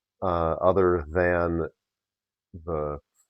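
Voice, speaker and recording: A man's very deep, low voice with an American accent and monotone, flat intonation. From Upper Peninsula of Michigan (Marquette). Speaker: record dealer. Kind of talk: interview. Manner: hesitant, many fillers.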